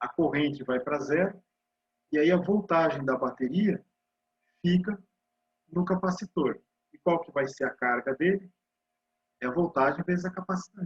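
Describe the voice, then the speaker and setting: Pausing long and often, a man with a high pitch talks at a moderate pace with ordinary pitch variation, his voice dry and close with no echo. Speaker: university physics lecturer. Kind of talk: lecture.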